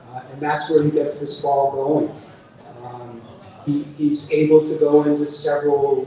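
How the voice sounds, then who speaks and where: A man's fairly high-pitched, monotone, flat delivery at a fairly slow pace, with noticeable background noise. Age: 70s. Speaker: author. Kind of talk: book talk interview. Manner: halting, many fillers.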